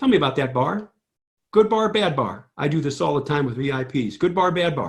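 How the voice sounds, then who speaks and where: His pitch swings very widely as a man talks with a Midwestern American accent. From St. Louis, Missouri, US Midwest. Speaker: trader and trading educator. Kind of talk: screen-share chart tutorial. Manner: animated.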